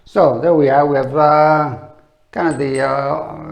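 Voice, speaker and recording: Fairly slow speech with audible room echo. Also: man. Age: 60s. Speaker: olive oil promoter. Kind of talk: product demonstration. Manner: casual, halting with fillers.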